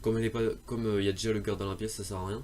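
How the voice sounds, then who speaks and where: A man talks very fast at a fairly low pitch. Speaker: gaming youtuber. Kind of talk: game tutorial. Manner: halting, many fillers and restarts.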